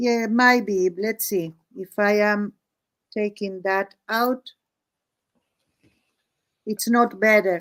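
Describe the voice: A woman speaks at a very slow pace with long, frequent pauses. Her pitch is medium, her tone fairly bright and her intonation fairly even.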